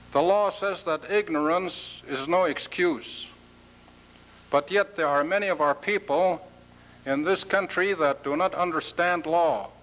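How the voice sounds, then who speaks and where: The speaker is a man with an Alaskan accent and a high pitch. He talks at a very slow pace. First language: Tlingit. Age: old. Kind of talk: conference address.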